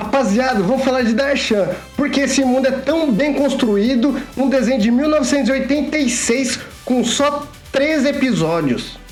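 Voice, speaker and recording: A man speaks in an energetic tone at an extremely high pitch, with ordinary pitch variation and very even loudness. Music plays in the background. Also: moderate pace. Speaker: nostalgia pop culture video host. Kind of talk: casual explainer talk to camera. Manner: informal, energetic.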